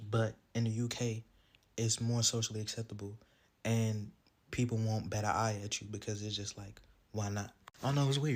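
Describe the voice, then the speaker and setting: Speaking in an American accent, a man with a fairly low, somewhat breathy voice keeps a monotone, flat intonation. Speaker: social media commentator. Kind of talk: casual monologue.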